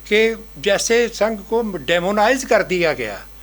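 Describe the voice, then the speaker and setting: The pitch variation is ordinary. The speaker is a man. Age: 80s+. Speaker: speaker at book launch. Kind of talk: public speech. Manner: halting.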